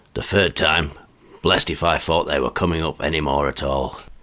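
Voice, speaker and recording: Putting on a character voice, a man goes raspy and very deep in pitch, speaking at a fairly quick pace. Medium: read story. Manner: chatty, colloquial.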